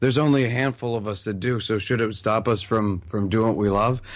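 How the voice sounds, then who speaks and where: A man with a normal speaking voice talks at a fairly low pitch and fairly even intonation. The recording is very clean, the background silent. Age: 30s. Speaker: magician, online video creator. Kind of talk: casual interview chat.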